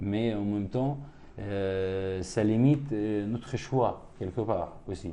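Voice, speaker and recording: Speaking at a very slow pace with an Arabic accent, a man's fairly low voice carries a dark, mellow tone. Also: ordinary pitch variation. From West Bank, Palestine. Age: 30s. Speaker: painter. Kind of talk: seminar talk with Q&A. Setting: room with audience. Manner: halting.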